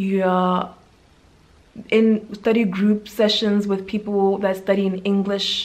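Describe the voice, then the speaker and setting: Medium-pitched speech from a woman. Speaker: medical intern and YouTuber; YouTuber. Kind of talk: vlog monologue. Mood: calm, earnest. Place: home room. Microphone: phone near.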